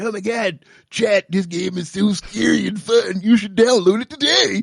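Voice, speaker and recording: A man puts on a character voice pitched high. The tone is upbeat. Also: moderate pace. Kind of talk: casual streamer talk. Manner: hyped, upbeat, salesy.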